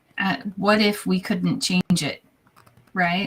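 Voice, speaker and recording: A woman speaks at medium pitch in a somewhat breathy voice. Her pitch variation is ordinary. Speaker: podcast co-host. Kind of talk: casual discussion.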